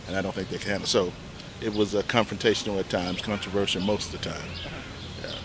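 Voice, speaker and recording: Over noticeable background noise, a man with an American accent and a fairly low pitch talks at a very fast pace in a monotone, flat intonation, broken by long, frequent pauses. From Ohio small town. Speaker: university professor and pastor. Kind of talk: casual street interview. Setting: outdoors on a bench in a city square. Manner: halting, many fillers.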